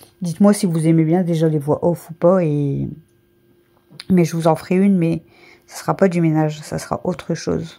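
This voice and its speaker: A woman's dark, mellow voice, flat and monotone, with long, frequent pauses. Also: fairly low pitch for a woman, moderate pace. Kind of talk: casual voice-over for a cleaning vlog. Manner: rambling, hesitant.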